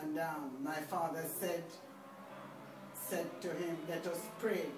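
Through noticeable background noise, a woman speaks at a very slow pace in a monotone, flat intonation. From Jamaica. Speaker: family elder interviewed. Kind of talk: interview answer. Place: home room. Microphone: camera far.

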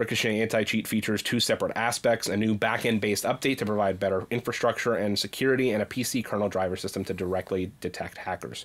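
Here a man talks at a very fast pace. His pitch is fairly low and his intonation fairly even. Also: hardly any pauses. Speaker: podcast host. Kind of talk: casual chat. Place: home room. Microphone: studio mic.

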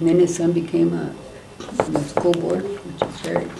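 There is noticeable background noise. Through it, a woman speaks with an American accent. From California, US. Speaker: community elder and former activist; family history storyteller. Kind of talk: group oral history discussion. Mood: warm, reminiscing. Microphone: camera far.

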